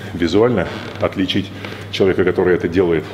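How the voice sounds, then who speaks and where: Over light background noise, a man with a very deep, low pitch speaks at a very fast pace with ordinary pitch variation. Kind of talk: interview conversation. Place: gym.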